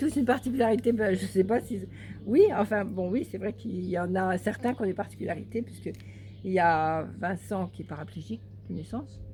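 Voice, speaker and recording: Music in the background behind a woman's moderately paced speech. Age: 60s. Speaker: storyteller and adoptive mother. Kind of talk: casual interview chat.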